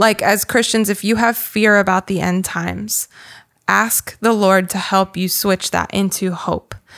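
Flat, monotone intonation from a woman at medium pitch, dry and close with no echo. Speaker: podcast co-host. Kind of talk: casual chat about faith.

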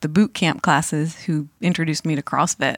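In an unremarkable speaking voice with an American accent, a woman speaks at a moderate pace and fairly low pitch with fairly even intonation, the sound dry and close with no echo on a very clean recording with a silent background. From western Massachusetts. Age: 50s. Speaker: audiologist in sales. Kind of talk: casual chat.

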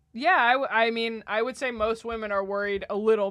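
The background stays quiet. A woman talks at a medium pitch. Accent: American. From New Jersey. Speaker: podcast guest, studio worker. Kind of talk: casual chat. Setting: studio.

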